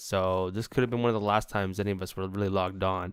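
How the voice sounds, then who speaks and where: Very fast speech with fairly even intonation. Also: man. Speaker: gaming youtuber. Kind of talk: casual let's play commentary. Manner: halting, many fillers.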